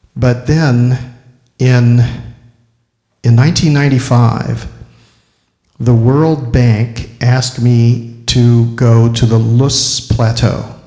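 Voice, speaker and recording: A man talks very slowly in a medium pitch, his voice somewhat breathy and his intonation monotone and flat. His loudness stays very even, and the room echo is audible. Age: 60s. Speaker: filmmaker and ecological restoration speaker. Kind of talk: lecture. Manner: halting.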